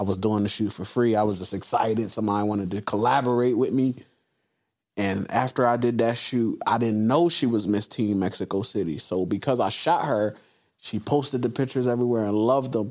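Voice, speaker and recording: A man speaks in an animated tone at a fairly quick pace. His pitch varies in an ordinary way. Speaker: podcast host. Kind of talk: casual interview chat. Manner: animated, high energy.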